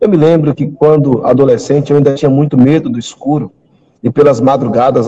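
A man is speaking. His tone is dark and mellow. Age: 40s. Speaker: pastor. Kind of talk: testimony; sermon.

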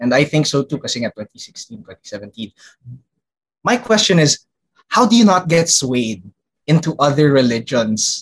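Captured with a dry, close sound and no echo, a man with a somewhat breathy, fairly high voice talks at a moderate pace with very wide pitch swings. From Philippines. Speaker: podcast co-host. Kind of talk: casual podcast conversation.

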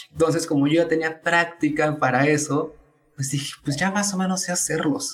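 This man has an unremarkable speaking voice with ordinary pitch variation. He speaks at a moderate pace. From Tabasco, Mexico. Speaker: economics student and content creator. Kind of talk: casual interview.

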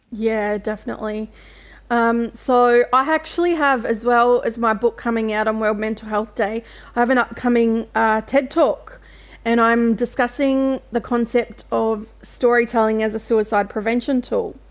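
The speaker talks at a moderate pace. The accent is Australian. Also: woman, fairly high pitch for a woman, fairly even intonation. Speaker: writer and mental health advocate. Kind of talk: interview.

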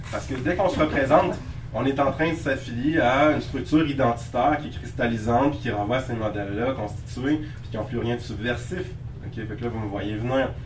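Amid noticeable background noise and audible room echo, a man with a Quebec accent speaks fairly quickly at a medium pitch with ordinary pitch variation. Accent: Québécois French. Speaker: lecturer and writer. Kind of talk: lecture. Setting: lecture hall with audience. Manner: hesitant, many fillers.

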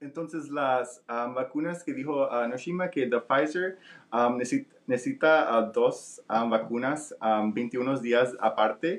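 A man at a medium pitch with ordinary pitch variation and a very slow pace. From Nicaragua. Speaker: vaccine researcher and interpreter. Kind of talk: live radio interview with interpreting. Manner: halting with many fillers.

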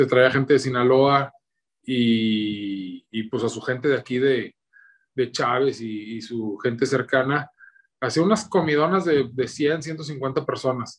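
This man talks at a very slow pace in a northern Mexican accent. His pitch is medium, with ordinary variation. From northern Mexico (Torreón, Coahuila). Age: 30s. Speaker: cooking content creator. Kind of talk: casual interview.

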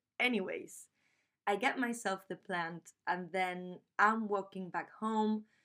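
A woman speaks very slowly with a Spanish accent, her medium pitch carrying a bright, sharp tone over fairly even intonation. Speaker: podcast host and graduate student. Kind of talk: scripted podcast intro, personal storytelling.

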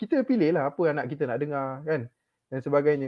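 A man with lively intonation at a moderate pace. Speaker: religious teacher and parent panelist. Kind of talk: panel discussion.

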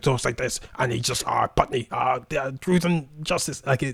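Using a put-on character voice at a medium pitch, this man is recorded with a dry, close sound and no echo. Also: moderate pace.

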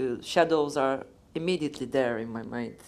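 A moderate pace in a Turkish accent, on a very clean recording with a silent background. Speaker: film writer and moderator. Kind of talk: onstage interview.

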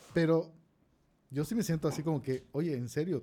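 Fairly high for a man, this voice has a dark, mellow tone, ordinary pitch variation and a fairly quick pace. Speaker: podcast co-host. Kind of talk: casual chat.

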